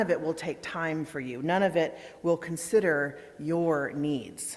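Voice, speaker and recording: A woman speaks in a booming voice with a fairly low pitch. Her tone is calm and soothing, and her pitch varies in an ordinary way. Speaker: minister. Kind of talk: guided breathing; worship service welcome. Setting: church sanctuary with congregation, also streamed on Zoom.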